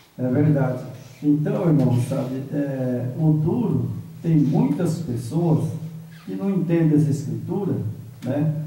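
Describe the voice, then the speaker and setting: A man with a fairly high voice talks at a very slow pace with ordinary pitch variation and long, frequent pauses, amid audible room echo and noticeable background noise. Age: 70s. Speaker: bible study participant. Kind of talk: bible study discussion.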